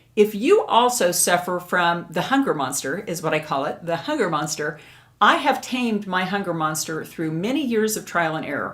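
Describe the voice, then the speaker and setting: A woman with an American accent, a fairly low pitch, a moderate pace and an unremarkable speaking voice. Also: lively intonation. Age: 60s. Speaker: beauty and lifestyle youtuber. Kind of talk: casual vlog talk to camera.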